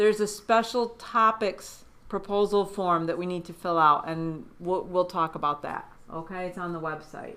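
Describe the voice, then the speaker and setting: A woman in a normal speaking voice talks at a moderate pace and medium pitch, with ordinary pitch variation and big swings in loudness. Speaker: graduate student advisor. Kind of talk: informational presentation.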